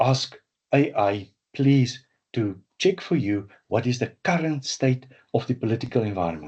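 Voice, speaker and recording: A man's medium-pitched, somewhat breathy voice with lively intonation at a moderate pace. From South Africa. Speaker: management systems trainer. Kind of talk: webinar lecture. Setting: webinar. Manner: animated, with repetitions and fillers.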